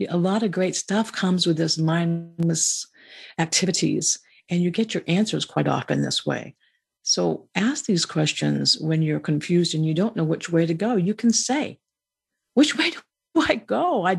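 A woman talks with lively intonation. Her voice is fairly low in pitch and somewhat breathy. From Maine family roots. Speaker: podcast host, spiritual speaker. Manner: conversational, repetitive, reflective.

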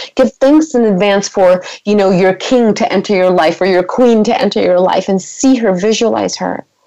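The speech runs at a moderate pace with hardly any pauses and ordinary pitch variation. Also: woman, medium pitch for a woman. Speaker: life coach and motivational speaker. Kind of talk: radio interview with coaching talk; pep talk, motivational exhortation. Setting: radio show interview. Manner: emphatic, fervent, repeating for effect; uplifting, inspirational.

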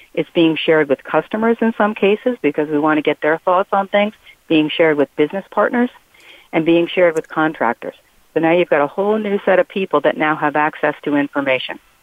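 With a normal speaking voice, this speaker talks at a fairly quick pace, using lively intonation and very even loudness. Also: woman, fairly low pitch for a woman. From Philadelphia. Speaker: HR consulting practice lead. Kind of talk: panel discussion.

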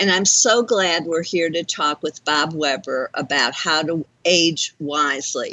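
A woman with an unremarkable speaking voice talks at a fairly slow pace. Her pitch sits fairly low, with ordinary pitch variation. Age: 60s. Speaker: talk radio host, life coach. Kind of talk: radio show hosting. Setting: internet radio studio.

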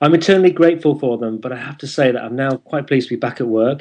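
Speaking at a very fast pace in a northern English accent, a man keeps a medium pitch with ordinary pitch variation. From northern England. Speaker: internet radio show host. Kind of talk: interview.

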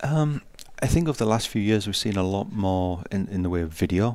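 Here is a man with a British accent. He talks at a fairly quick pace. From UK. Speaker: tech company executive. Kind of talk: interview. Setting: conference floor, live radio broadcast.

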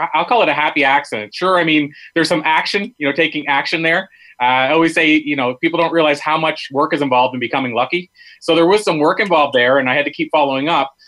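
Talking very fast, a man uses a fairly high pitch, a bright, sharp tone and ordinary pitch variation. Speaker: motivational speaker and podcaster. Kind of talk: interview.

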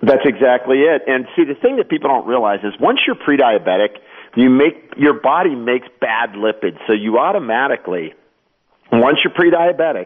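At a moderate pace, a man with an unremarkable speaking voice talks using lively intonation. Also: medium pitch for a man. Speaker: doctor and pharmacist. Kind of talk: interview.

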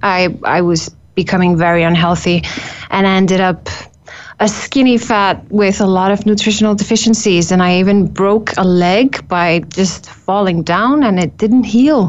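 A woman talks at a moderate pace with a medium pitch and ordinary pitch variation. Her loudness stays very even. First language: Icelandic. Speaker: nutritionist. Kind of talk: interview. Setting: studio.

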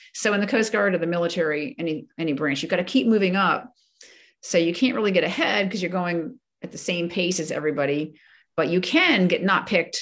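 Using a normal speaking voice, a woman with an American accent talks at a fairly quick pace, fairly low in pitch with lively intonation. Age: 60s. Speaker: retired coast guard vice admiral. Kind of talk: interview.

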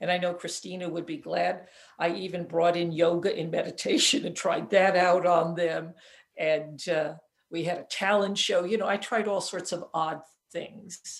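On a very clean recording with a silent background, a woman with an ordinary speaking voice talks at a moderate pace with a fairly low pitch and fairly even intonation. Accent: American. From upstate New York. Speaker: physician and author. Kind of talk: casual chat.

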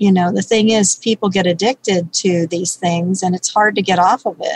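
The sound is dry and close with no echo. A woman speaks at medium pitch, somewhat breathy, with fairly even intonation. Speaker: baker and health coach. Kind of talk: interview conversation. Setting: radio show.

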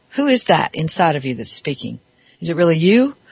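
A woman with an American accent, fairly low in pitch and somewhat breathy, at a fairly quick pace with very wide pitch swings. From US South. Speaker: radio talk show host. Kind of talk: talk radio monologue.

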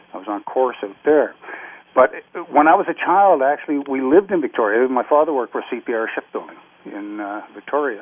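A man with a Canadian accent talks at medium pitch and a fairly quick pace, with lively intonation and big swings in loudness. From Canada (Nova Scotia), born Scotland. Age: 60s. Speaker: retired navy veteran. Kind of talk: interview. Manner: halting.

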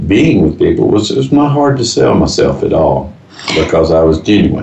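A man talks with a Texan accent and ordinary pitch variation. Noticeable background noise runs underneath. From Texas, Fort Worth. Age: 80s+. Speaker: business owner. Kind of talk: interview. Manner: halting.

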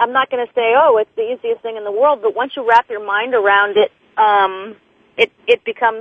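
Her pitch is fairly high, with ordinary variation. The woman keeps a moderate pace. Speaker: actress and motivational speaker. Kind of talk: interview. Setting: phone call. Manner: animated.

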